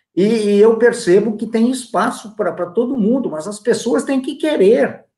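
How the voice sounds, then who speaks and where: A man's extremely high voice, dark and mellow in tone, at a moderate pace. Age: 70s. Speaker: lecturer. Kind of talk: online talk Q&A. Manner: repeats words, hesitant.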